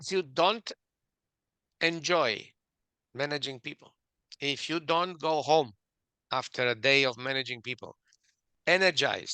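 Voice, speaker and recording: A man with a fairly high pitch and a bright, sharp tone speaks fairly slowly with ordinary pitch variation. His speech has long, frequent pauses, and the sound is dry and close with no echo. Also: quiet background. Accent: Romanian. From Romania. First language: Romanian. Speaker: author and management expert. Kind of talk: interview.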